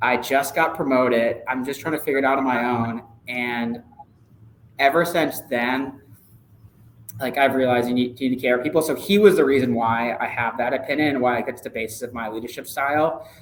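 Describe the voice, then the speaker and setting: At a fairly quick pace, a man with a medium-pitched voice talks over noticeable background noise. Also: ordinary pitch variation. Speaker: sports ticket sales manager. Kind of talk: interview. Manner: loud; casual, filler-heavy.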